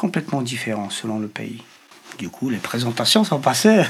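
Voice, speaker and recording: A man with a Polish accent speaks at a medium pitch against noticeable background noise. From Poland. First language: Polish (speaking French). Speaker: interviewee who grew up with deaf parents. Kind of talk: interview. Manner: halting.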